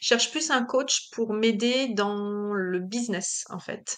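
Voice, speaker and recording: A woman's fairly high voice, very slow in pace, with ordinary pitch variation. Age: 40s. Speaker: business owner. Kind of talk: interview. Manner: hesitant, many fillers.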